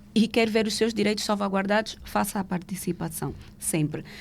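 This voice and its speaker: This woman speaks at a medium pitch and a moderate pace, with ordinary pitch variation and a somewhat breathy quality. The recording is very clean, with a silent background. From Angola. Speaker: legal professional. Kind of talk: podcast interview.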